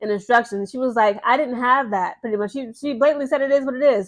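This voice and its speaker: A woman with a high pitch speaks at a very fast pace in fairly even intonation. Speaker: sports commentary youtuber. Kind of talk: casual commentary.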